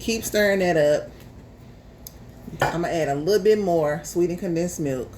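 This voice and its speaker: A woman's fairly low voice at a moderate pace, with ordinary pitch variation, long, frequent pauses, audible room echo and noticeable background noise. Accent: American. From US South, Memphis, Tennessee. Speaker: home cook, YouTuber. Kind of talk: casual chat; cooking tutorial. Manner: casual, chatty.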